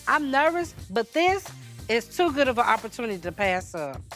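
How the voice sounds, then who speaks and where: With music in the background, a woman speaks fairly quickly at a fairly high pitch, her voice making very wide pitch swings. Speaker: podcast guest who came for advice. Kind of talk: casual.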